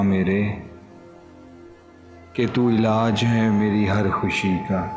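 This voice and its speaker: A man speaks at a fairly low pitch with fairly even intonation. Music plays in the background. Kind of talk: poetry reading.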